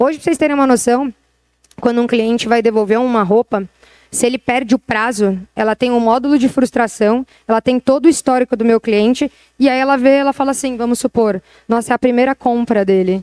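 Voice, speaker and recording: At a fairly quick pace, a woman speaks in a high pitch with very even loudness, the sound dry and close with no echo. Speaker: retail tech executive. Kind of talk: interview talk on stage. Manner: fast; animated.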